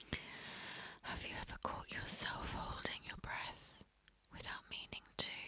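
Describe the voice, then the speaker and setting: Whispering in a calm tone, a woman leaves long, frequent pauses, her loudness swinging widely, with noticeable background noise behind her. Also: fairly slow pace. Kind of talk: ASMR whisper video of reflective 'have you ever' prompts. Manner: soft-spoken, calm, whispered.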